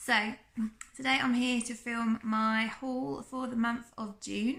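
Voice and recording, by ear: A woman with a fairly high, croaky voice and vocal fry speaks in a fairly bright tone with fairly even intonation.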